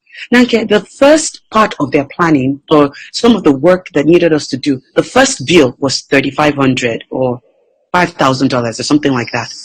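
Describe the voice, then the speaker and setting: A woman with a non-native accent speaks at a fairly quick pace, somewhat breathy. Her pitch swings very widely. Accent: foreign accent, somewhat reduced by practice. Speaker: entrepreneur and motivational speaker. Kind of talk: interview.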